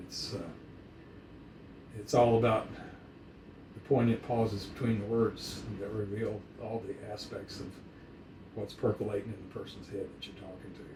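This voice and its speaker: In a room with audible echo, a man speaks at a moderate pace and fairly low pitch, with monotone, flat intonation, big swings in loudness, and long, frequent pauses. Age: 70s. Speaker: dog breeder. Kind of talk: casual chat.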